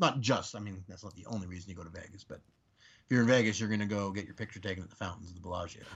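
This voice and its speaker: Very fast, somewhat breathy speech with big swings in loudness. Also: man, fairly low pitch for a man. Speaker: podcast guest. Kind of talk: casual chat.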